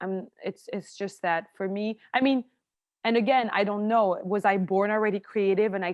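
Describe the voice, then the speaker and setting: At a moderate pace, a woman in a French accent speaks at medium pitch with fairly even intonation. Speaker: actress and screenwriter. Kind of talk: interview conversation.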